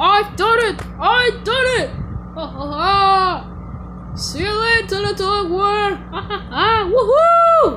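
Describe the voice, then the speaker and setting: This put-on character voice is pitched extremely high and speaks at a very slow pace. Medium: voice reel. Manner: pompous, boastful.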